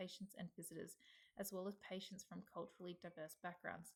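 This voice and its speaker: A woman at medium pitch with an Australian accent, monotone, flat intonation and a very fast pace. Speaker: healthcare student. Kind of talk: reading aloud. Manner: formal.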